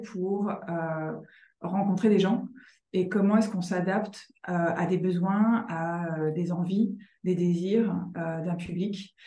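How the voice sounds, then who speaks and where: Very slowly, a woman speaks in a medium pitch, her tone dark, mellow and somewhat breathy, with fairly even intonation. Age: 40s. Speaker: author and journalist. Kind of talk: interview conversation.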